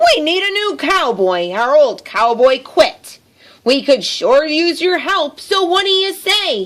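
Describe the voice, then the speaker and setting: Putting on a character voice, a woman growls at an extremely high pitch with very wide pitch swings and a fairly slow pace. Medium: read story. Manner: growling.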